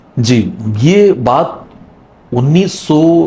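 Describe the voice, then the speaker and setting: With noticeable background noise behind him, a man speaks with lively intonation. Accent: Punjabi. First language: Punjabi (speaking Hindi). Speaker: retired radio broadcaster. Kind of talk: interview.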